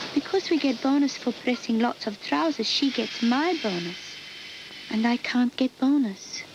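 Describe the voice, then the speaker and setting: A woman's high-pitched voice at a moderate pace, with noticeable background noise. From Turkey. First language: Turkish. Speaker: factory worker. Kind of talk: documentary testimony.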